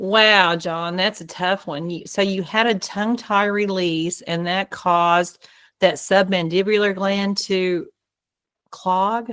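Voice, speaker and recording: At a very slow pace, a woman in an American accent speaks with a medium pitch and fairly even intonation. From Oklahoma. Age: 60s. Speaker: dentist. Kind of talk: Q&A on a group video call.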